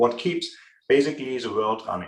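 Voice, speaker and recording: Here a man talks with a strong German accent. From Germany. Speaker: business consultant. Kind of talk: interview. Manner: frequent filler hesitations.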